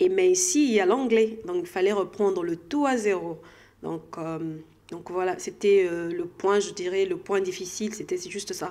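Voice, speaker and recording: The voice has a dark, mellow tone, moves at a fairly slow pace, and shows ordinary pitch variation. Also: woman, medium pitch for a woman. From DR Congo. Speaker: health sector professional. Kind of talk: interview. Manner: halting.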